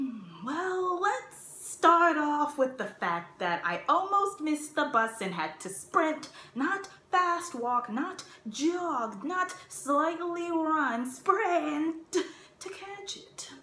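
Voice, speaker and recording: A woman speaks at a very slow pace in a raised, projected voice, with audible room echo. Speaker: actor doing an audition monologue. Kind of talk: acted comedic monologue. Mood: exasperated, dramatic. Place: home room. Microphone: phone near.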